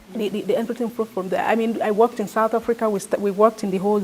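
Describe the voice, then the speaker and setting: A woman with a Nigerian accent speaks with ordinary pitch variation over noticeable background noise. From Nigeria, Niger Delta. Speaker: activist and former journalist. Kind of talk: interview. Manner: halting, with many repetitions.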